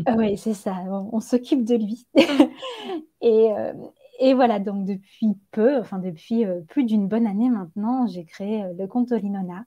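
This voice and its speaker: Fairly high in pitch, a woman speaks with a dark, mellow tone and a somewhat breathy quality. Her pace is fairly slow and her intonation fairly even. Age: 30s. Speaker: yoga teacher and ayurveda practitioner. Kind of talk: interview. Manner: hesitant, many fillers.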